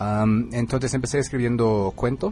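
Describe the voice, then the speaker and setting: With an English accent, a man speaks at a moderate pace in a dark, mellow tone with vocal fry and very wide pitch swings. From US Northeast (Connecticut). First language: English (speaking Spanish). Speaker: author. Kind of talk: radio interview. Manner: halting, with fillers.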